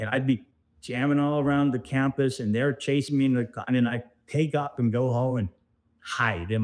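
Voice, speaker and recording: A man with an American accent talks at a fairly quick pace in a normal speaking voice. His medium pitch shows ordinary variation against a quiet background. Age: 60s. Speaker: former amateur golfer. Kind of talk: interview.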